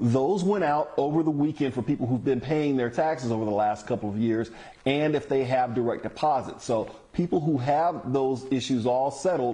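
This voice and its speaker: His pitch moves in an ordinary way. The man keeps a moderate pace. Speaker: tv news reporter. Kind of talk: news report. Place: home room. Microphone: lapel.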